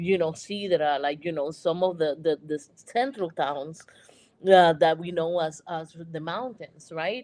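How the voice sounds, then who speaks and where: This speaker talks at a fairly slow pace with ordinary pitch variation in a Puerto Rican accent. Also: woman, fairly low pitch for a woman. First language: Spanish. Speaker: panelist. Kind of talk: panel discussion.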